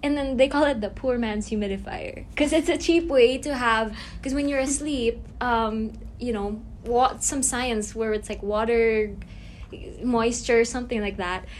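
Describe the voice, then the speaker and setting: A woman speaks at a fairly high pitch. The room echo is easy to hear. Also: ordinary pitch variation, moderate pace. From Philippines. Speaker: fashion brand owner and student. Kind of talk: casual chat.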